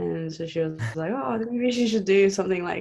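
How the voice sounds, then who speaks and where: A woman with a Spanish accent speaks at a moderate pace. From Argentina, raised in several countries with American schooling. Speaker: judo and jiu-jitsu coach and competitor. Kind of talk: interview.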